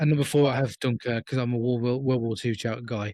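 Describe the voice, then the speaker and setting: A man of medium pitch talks at a very fast pace with fairly even intonation. The recording is very clean with a silent background, dry and close with no echo. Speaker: film review podcast co-host. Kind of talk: casual chat. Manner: halting.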